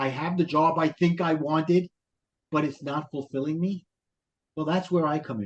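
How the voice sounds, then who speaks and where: A man with a Brooklyn accent speaks at a moderate pace, his pitch fairly high. The sound is dry and close, with no echo. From Brooklyn, New York. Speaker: life coach and author. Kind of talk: podcast interview.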